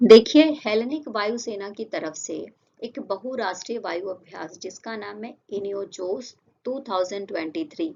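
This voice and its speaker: Using lively intonation, a woman speaks at a very slow pace and a fairly high pitch. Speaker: current affairs teacher. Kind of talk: lecture; casual chat.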